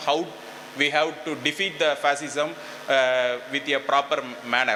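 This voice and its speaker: A man's fairly high, monotone voice with a Tamil accent, amid audible room echo and noticeable background noise. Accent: Tamil-accented Indian English. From India, Tamil Nadu. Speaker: political activist delegate. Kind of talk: conference speech. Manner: halting.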